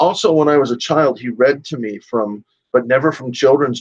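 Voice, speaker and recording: Using a normal speaking voice, a man with an American accent speaks at a fairly quick pace with ordinary pitch variation. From US Midwest, Chicago. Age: 60s. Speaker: gun rights advocate and radio host. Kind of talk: interview.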